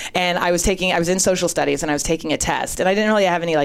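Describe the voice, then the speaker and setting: With an American accent, a woman talks at a very fast pace. Her pitch is fairly low, with ordinary variation. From Northern California, later Boston. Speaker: writer. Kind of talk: casual chat, storytelling.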